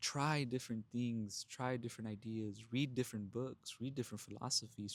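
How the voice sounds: At medium pitch and a moderate pace, a man talks with ordinary pitch variation in a very clean recording with a silent background.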